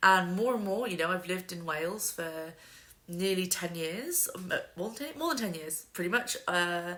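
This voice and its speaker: With a bright, sharp tone, the voice moves at a moderate pace with ordinary pitch variation, and audible room echo is present. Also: woman, medium pitch for a woman. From UK, West Midlands. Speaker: book youtuber. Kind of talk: casual talk to camera. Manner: hesitant, many ums.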